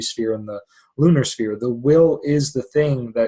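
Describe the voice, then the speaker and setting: A man with a somewhat breathy voice. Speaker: astrologer. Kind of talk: lecture. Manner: fast.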